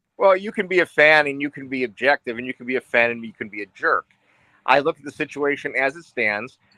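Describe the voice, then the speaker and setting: Man with an American accent, fairly high pitch and bright, sharp tone, very fast pace, big swings in loudness, ordinary pitch variation, and a dry, close sound with no echo. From western New York. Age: 60s. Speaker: sports podcast caller. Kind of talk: casual sports talk discussion. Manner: halting, repeats words.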